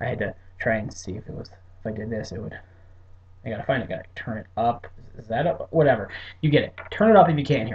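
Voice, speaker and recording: Very fast yet marked by long, frequent pauses, a man speaks at medium pitch, somewhat breathy, with lively intonation and big swings in loudness. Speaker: wrestling vlogger. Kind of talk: casual monologue predictions. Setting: back room of hotel at work. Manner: tongue-tied.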